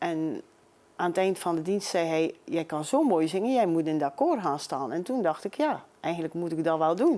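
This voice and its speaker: A woman's dark, mellow, fairly low voice with lively intonation at a moderate pace, on a very clean recording with a silent background. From Belgium, Maldegem (East Flanders). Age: 60s. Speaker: amateur singer. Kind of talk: interview.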